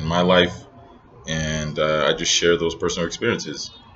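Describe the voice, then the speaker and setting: A man speaks with an American accent. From Northern Nigeria. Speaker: vlogger and entrepreneur. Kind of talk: casual vlog monologue. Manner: hesitant, many fillers.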